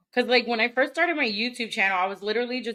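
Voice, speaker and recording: A woman's fairly high voice with a Spanish accent and ordinary pitch variation. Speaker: YouTuber and cosplayer. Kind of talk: casual podcast interview.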